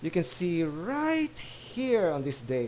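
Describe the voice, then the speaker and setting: Speaking fairly slowly with a non-native accent, a man uses a fairly high voice that swings very widely in pitch. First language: not English. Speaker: gaming YouTuber. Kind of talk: casual gameplay commentary. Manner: stuttering, halting.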